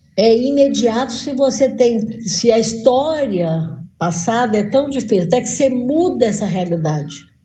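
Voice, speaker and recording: With a high pitch and a dark, mellow tone, a woman speaks at a fairly slow pace in very wide pitch swings, with audible room echo. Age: 60s. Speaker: veteran missionary. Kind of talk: encouraging testimony in a group discussion.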